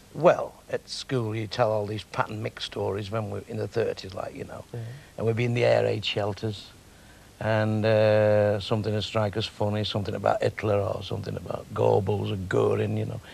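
With a Manchester accent, a man talks at a moderate pace in a dry recording with no echo. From Manchester, England. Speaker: comedian and club owner. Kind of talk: interview answer. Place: studio. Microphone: lapel.

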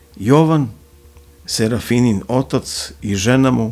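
Faint music plays behind a man whose dramatic delivery has lively intonation. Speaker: audiobook narrator. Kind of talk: literary audiobook reading of a crime novel, ASMR-style bedtime storytelling. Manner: soft, hushed ASMR narration; slow, measured, dramatic literary delivery. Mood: dark, ominous storytelling. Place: studio. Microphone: studio mic.

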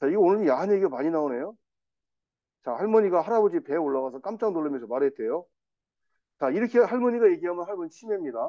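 Over a quiet background, a man talks in an animated tone at a high pitch, swinging very widely in pitch at a very fast pace, broken by long, frequent pauses. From South Korea. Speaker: English teacher for seniors. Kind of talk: lecture. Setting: classroom with students. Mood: playful, lighthearted. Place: classroom.

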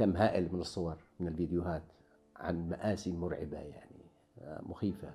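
Over faint music in the background, a man with a very deep, low pitch speaks at a moderate pace with fairly even intonation and long, frequent pauses. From Yemen. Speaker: painter. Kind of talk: interview answer. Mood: somber, reflective. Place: home room.

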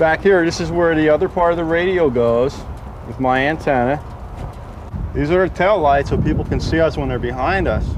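With noticeable background noise around him, a man speaks at a fairly quick pace. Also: ordinary pitch variation. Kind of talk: explanatory show-and-tell. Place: street. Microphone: camera far.

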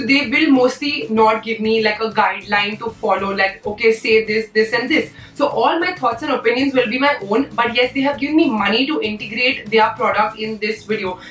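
With music in the background and audible room echo, a woman talks at a fairly high pitch and fairly quick pace, with ordinary pitch variation and hardly any pauses. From India. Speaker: beauty YouTuber. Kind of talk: casual vlog talk to camera. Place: home room.

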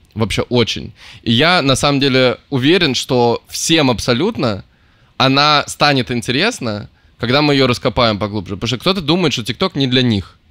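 At a moderate pace, a man talks with lively intonation and a bright, sharp tone, the sound dry with no echo and the background quiet. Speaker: podcast host. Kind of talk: casual chat. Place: home room. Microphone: studio mic.

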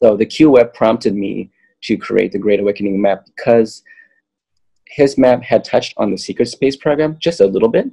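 Over a quiet background, a man with an American accent speaks at a moderate pace in a dark, mellow tone with ordinary pitch variation. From Southern California. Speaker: yogi and spiritual map creator; guest, map creator. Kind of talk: casual chat. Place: home room. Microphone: webcam.

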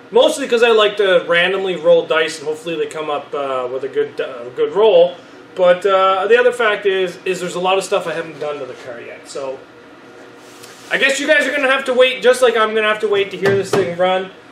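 A man's high-pitched voice at a fairly quick pace, with very wide pitch swings, big swings in loudness, audible room echo and light background noise. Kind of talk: casual vlog chat. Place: garage. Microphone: phone near.

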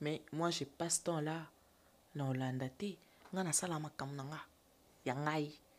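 Speaking at a very slow pace with long, frequent pauses, a woman uses a very deep, low pitch and fairly even intonation. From DR Congo. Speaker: actress and TikToker; actress. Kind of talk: interview, casual chat. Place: studio. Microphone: studio mic.

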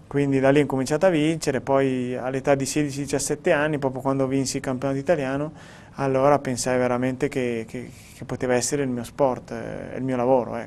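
The speaker delivers the words in a flat monotone at a fairly quick pace, with light background noise. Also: man. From Italy. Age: 30s. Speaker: professional cyclist; interviewee. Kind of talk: interview. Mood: calm, reflective. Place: studio. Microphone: lapel.

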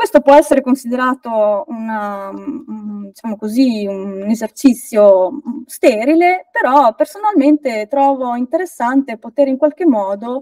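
Against a quiet background, a woman with a high pitch talks at a fairly slow pace, the sound dry with no echo. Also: lively intonation, big swings in loudness. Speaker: folklore researcher; guest. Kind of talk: lecture. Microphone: video call.

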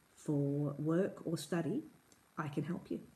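Somewhat breathy, a woman with an Australian accent talks at a very slow pace with ordinary pitch variation. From Perth, Western Australia. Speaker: English tutor. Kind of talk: tutor introduction to camera. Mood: friendly, warm. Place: home room. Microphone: phone near.

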